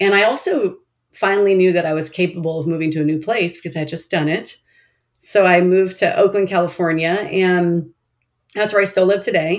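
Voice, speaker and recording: A woman speaks in an ordinary speaking voice at a medium pitch. Her pace is fairly quick and her intonation fairly even. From Oregon, US. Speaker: nonprofit CEO. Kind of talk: interview.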